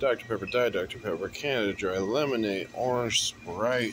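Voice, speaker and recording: Noticeable background noise runs under a man's voice. He keeps a moderate pace with ordinary pitch variation. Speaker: vlogger. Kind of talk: casual vlog chat. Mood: playful, joking. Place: shop. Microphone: phone near.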